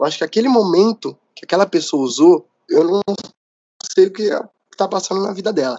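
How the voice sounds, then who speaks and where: Speaking at a fairly quick pace in a high pitch, a man uses ordinary pitch variation, with long, frequent pauses and big swings in loudness. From São Paulo, Brazil. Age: 20s. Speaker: photographer, former arts student. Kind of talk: casual interview. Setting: late-night recording.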